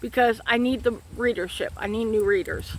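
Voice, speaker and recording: A woman with a Southern US accent speaks in a high pitch with ordinary pitch variation. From Florida, Citrus County. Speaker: author and book vlogger. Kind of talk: casual chat. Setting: outdoors.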